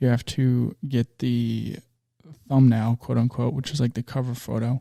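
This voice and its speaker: A man at a moderate pace, medium in pitch with a dark, mellow tone, monotone flat intonation and a dry, close sound with no echo. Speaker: podcast host and small business owner. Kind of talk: solo podcast monologue. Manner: relaxed, not loud.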